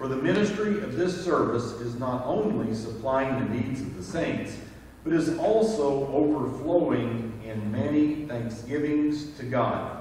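Spoken at a fairly slow pace with lively intonation, the voice carries strong room echo over light background noise. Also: man. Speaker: scripture reader at service. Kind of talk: scripture reading. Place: church.

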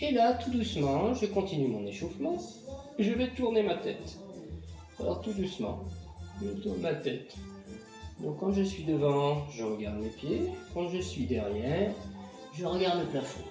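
Over clear music in the background and audible room echo, a man speaks at a fairly slow pace with long, frequent pauses. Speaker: municipal sports educator. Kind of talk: tutorial. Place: home room. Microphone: camera far.

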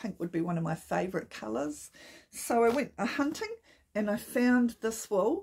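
A woman with a New Zealand accent speaks at a fairly high pitch and a moderate pace. Her voice is somewhat breathy, and her intonation is lively. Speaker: knitting podcaster. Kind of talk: casual talk to camera. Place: home room. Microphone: phone near.

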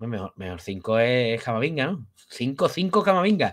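A man with a Spanish accent, animated in tone, at a fairly slow pace with very wide pitch swings. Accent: Spanish from Spain. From Spain. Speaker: football youtuber. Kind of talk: post-match football talk. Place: home room. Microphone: webcam.

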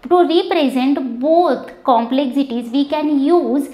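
The pitch variation is ordinary. Audible room echo surrounds the voice. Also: woman. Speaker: teacher. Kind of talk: lecture. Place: classroom. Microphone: lapel.

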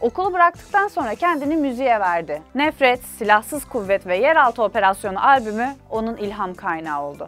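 With faint music in the background, a woman uses a playful tone, a fairly high pitch and very wide pitch swings at a moderate pace. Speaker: web show host. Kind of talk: humorous biography narration. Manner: casual, playful. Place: studio. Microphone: lapel.

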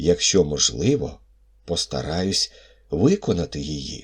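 A man puts on a character voice with a very deep, low pitch, speaking at a fairly slow pace. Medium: read story.

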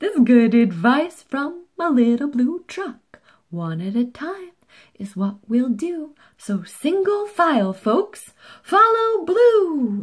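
A woman uses a put-on character voice at a high pitch with big pitch swings. She speaks at a slow pace with few pauses.

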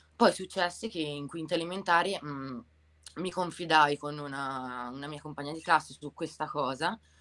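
A woman talks at a moderate pace with a very deep, low pitch and ordinary pitch variation. Her loudness swings widely. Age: 30s. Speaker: tattoo artist and bar manager; interview guest. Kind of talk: testimony. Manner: halting. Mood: calm, reflective personal story. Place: home room. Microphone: video call.

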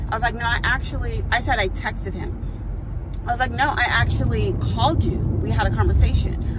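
Loud background noise surrounds a woman whose voice sounds dry, with no echo. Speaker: vlogger. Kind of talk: casual vlog chat. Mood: frustrated, anxious. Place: car. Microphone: phone near.

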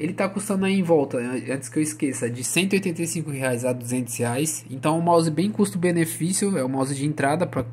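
Lively intonation runs through a somewhat breathy voice that keeps a moderate pace. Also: man. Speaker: gaming YouTuber reviewing products. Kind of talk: product review video. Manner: casual, halting with fillers.

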